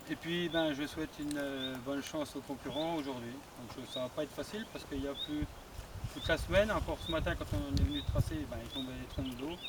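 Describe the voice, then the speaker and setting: Noticeable background noise runs beneath speech at a fairly quick pace. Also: man. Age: 40s. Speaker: hunting association president, event organiser. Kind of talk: speech to an outdoor audience at a competition.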